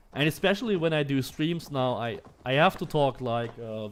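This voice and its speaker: Lively intonation marks this man's medium-pitched voice, in a German accent. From Germany. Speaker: gaming streamer. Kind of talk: live gameplay stream commentary. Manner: casual, hesitant with fillers.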